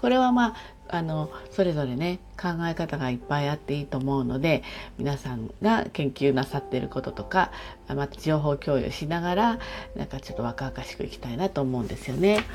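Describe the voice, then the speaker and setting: A woman with a very deep, low pitch speaks at a moderate pace with lively intonation over noticeable background noise. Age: 60s. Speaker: podcaster. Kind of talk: casual solo monologue. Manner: chatty, friendly.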